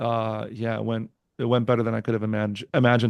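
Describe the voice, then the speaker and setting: A man at a medium pitch and moderate pace, with a dry, close sound with no echo and a quiet background. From New Jersey, US. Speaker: comedian. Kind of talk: casual chat. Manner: casual, halting with fillers and restarts.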